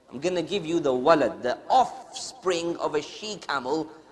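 Lively intonation marks a man's fairly high voice, heard through noticeable background noise. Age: 30s. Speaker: Islamic teacher. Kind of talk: religious lesson.

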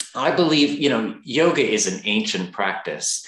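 With an American accent and vocal fry, a man speaks in very wide pitch swings. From Texas. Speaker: yoga teacher and author. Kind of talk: interview.

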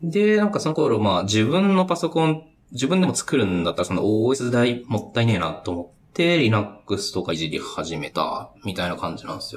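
A man at a moderate pace, hardly any pauses, and very wide pitch swings. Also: medium pitch for a man. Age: 30s. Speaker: software engineer. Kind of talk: casual chat.

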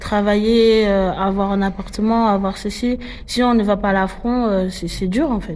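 A woman talks at medium pitch and a fairly slow pace with fairly even intonation. Noticeable background noise runs underneath. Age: 20s. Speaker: rapper. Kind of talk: casual interview.

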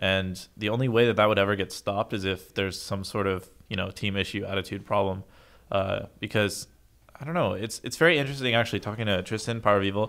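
A man with an American accent at a very fast pace, fairly low pitch, and ordinary pitch variation. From United States. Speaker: pro esports player. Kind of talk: casual chat.

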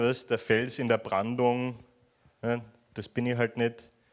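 A man with a Viennese accent talks at a fairly slow pace on a very clean recording with a silent background. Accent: Viennese Austrian German. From Austria, Vienna. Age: young. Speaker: stand-up comedian. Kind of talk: stand-up. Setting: stage with audience.

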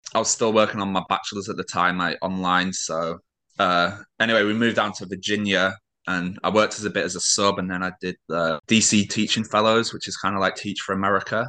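With a British accent, a man speaks at a fairly quick pace in a fairly low pitch, his bright, sharp tone set in monotone, flat intonation against a quiet background. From Britain. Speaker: adapted PE teacher. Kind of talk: casual interview.

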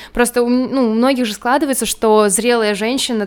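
On a very clean recording with a silent background, a woman with a plain, everyday voice talks at a fairly quick pace and fairly high pitch, with ordinary pitch variation. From Russia, Moscow region. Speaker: teacher. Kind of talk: casual chat.

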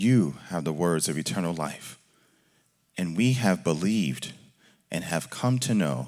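A man's very deep, low voice with vocal fry, lively intonation, and a fairly slow pace. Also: very clean recording, silent background. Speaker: scripture reader at church. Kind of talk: reading aloud. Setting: church.

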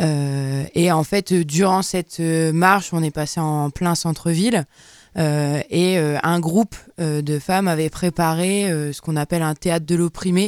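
A woman speaks at a very slow pace in a fairly low pitch with fairly even intonation. The sound is dry and close, with no echo. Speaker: radio columnist. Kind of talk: casual chat. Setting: studio.

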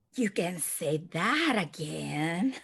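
Someone puts on a character voice pitched in the middle range.

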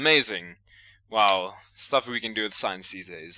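In a South African accent, a man speaks at a moderate pace. His tone is bright and sharp, with ordinary pitch variation. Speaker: podcast host. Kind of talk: casual comedic banter.

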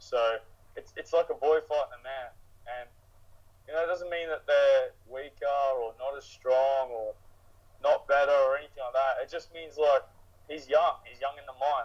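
A man with an Australian accent talks at a moderate pace, pausing long and often, his loudness swinging a lot. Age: 30s. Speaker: mixed martial arts fighter. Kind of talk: casual interview.

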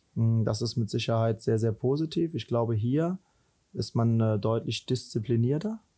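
A man's dark, mellow tone comes through somewhat breathy as he speaks at a moderate pace. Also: medium pitch for a man, ordinary pitch variation, very even loudness. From Rhineland, Germany. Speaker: football head coach. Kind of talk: interview.

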